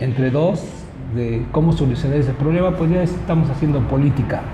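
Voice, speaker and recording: Noticeable background noise and audible room echo surround this man's speech. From Mexico, Puebla. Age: 60s. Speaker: local politician and engineer. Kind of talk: interview.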